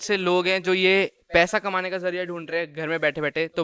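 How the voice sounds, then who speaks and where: A man with a high pitch and a bright, sharp tone speaks at a moderate pace in a very clean recording with a silent background and dry, close sound with no echo. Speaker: podcast host. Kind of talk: casual podcast talk.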